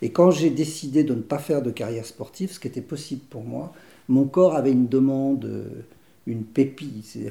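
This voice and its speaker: Somewhat breathy and dark and mellow in tone, a man of medium pitch speaks at a moderate pace, with ordinary pitch variation and big swings in loudness. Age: 60s. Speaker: theatre director. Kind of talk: interview. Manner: halting.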